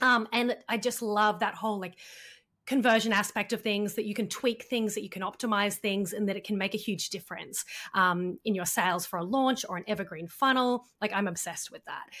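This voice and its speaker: In a very clean recording with a silent background, a woman with an Australian accent speaks at a fairly quick pace. Her medium-pitched voice has a bright, sharp tone and fairly even intonation. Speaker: funnel and launch strategist, copywriter. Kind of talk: podcast interview. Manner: casual, many fillers.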